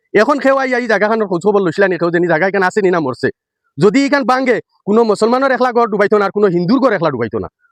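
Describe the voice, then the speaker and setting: This man talks in a high pitch with lively intonation, and the sound is dry and close with no echo. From Silchar, Assam (Barak Valley). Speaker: local video blogger. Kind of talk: on-location vlog address. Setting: outdoors at riverbank embankment. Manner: halting.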